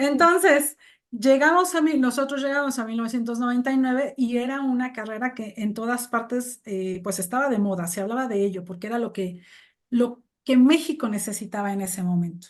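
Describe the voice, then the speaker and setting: Her high voice full of lively intonation, a woman speaks at a fairly quick pace over a quiet background. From Mexico. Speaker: English teacher and translator. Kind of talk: interview conversation. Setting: video call.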